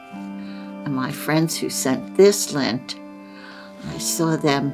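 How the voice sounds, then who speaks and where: Music plays in the background while a woman talks. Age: 80s+. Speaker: lint artist. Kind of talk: documentary interview, talking while working.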